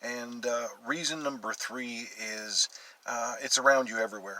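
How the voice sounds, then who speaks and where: Fairly slow speech with fairly even intonation over noticeable background noise. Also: man. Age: 60s. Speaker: real estate agent. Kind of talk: video self-presentation for a class. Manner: halting, many fillers.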